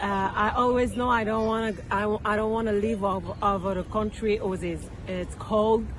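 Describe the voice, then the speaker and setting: Amid noticeable background noise and audible room echo, a woman speaks at medium pitch and moderate pace in a monotone, flat intonation. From France. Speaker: local resident interviewee. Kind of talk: street interview. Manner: halting.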